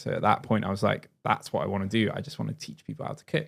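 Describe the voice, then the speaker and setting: Very fast and fairly low-pitched, a man's voice carries vocal fry. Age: 30s. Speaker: chef and cookery teacher. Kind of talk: podcast interview.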